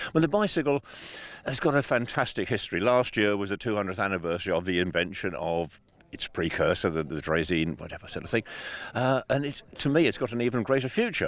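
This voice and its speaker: With an English accent, a man speaks at a very fast pace in a fairly low voice. His pitch swings very widely. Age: 70s. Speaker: bicycle designer. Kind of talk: interview. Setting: outdoors.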